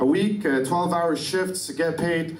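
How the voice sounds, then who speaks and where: Through noticeable background noise and audible room echo, a man with an Arabic accent speaks at a fairly high pitch with ordinary pitch variation. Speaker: activist. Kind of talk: lecture. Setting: conference stage with audience. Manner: fast.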